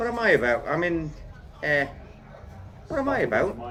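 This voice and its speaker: Delivered at a fairly quick pace, the speech carries audible room echo along with noticeable background noise. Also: man. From Netherlands. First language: Dutch. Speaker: gardener and tree surgeon. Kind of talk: casual interview chat.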